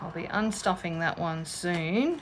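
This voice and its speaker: A woman at medium pitch with an Australian accent, ordinary pitch variation and a fairly slow pace. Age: 50s. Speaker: budgeting vlogger. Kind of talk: casual chat. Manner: chatty.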